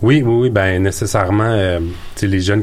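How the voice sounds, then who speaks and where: A man talks in a very deep, low pitch. Noticeable background noise and audible room echo surround his voice. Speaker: entrepreneurship coach. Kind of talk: radio interview. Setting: studio.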